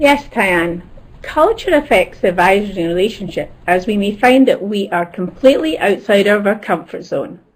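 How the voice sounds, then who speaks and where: Noticeable background noise sits behind a woman speaking at medium pitch. She uses lively intonation at a moderate pace. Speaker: academic advisor, webinar panelist. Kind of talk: webinar presentation.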